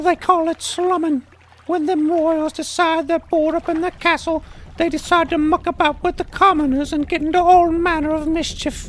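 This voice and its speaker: This put-on character voice has an extremely high pitch and a monotone, flat intonation, delivered at a moderate pace. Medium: audio drama. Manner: folksy, ungrammatical, hesitant.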